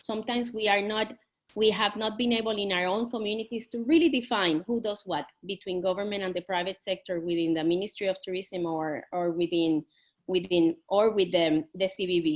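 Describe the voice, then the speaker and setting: Speaking at a fairly quick pace, a woman with a Puerto Rican accent has a medium pitch. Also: ordinary pitch variation. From Puerto Rico. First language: Spanish. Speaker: tourism industry panelist. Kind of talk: panel discussion. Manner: animated, with many false starts.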